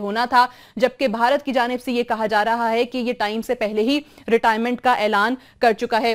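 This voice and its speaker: A woman speaks in a high pitch with monotone, flat intonation. The background is quiet. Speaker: news anchor. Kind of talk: news presentation. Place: studio. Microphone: lapel.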